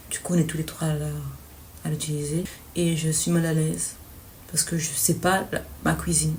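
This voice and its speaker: A woman at a moderate pace with long, frequent pauses, amid audible room echo and noticeable background noise. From Belgium. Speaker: student vlogger. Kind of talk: vlog. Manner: hesitant.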